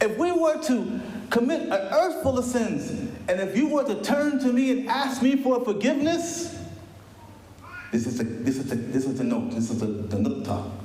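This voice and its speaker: Amid noticeable background noise and audible room echo, a man speaks in an animated tone at a moderate pace. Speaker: guest preacher. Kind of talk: sermon. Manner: animated, repetitive.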